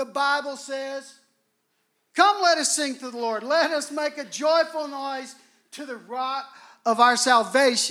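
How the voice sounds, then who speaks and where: A man's raised, projected voice at an extremely high pitch, bright and sharp in tone and animated, fairly slow with long, frequent pauses, big swings in loudness and ordinary pitch variation. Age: 60s. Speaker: guest preacher. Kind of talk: sermon. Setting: church.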